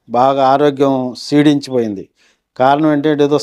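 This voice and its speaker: This man has a fairly high pitch and a dark, mellow tone. His intonation stays flat and monotone. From Andhra Pradesh, Krishna district. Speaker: church member giving testimony. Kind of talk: testimony.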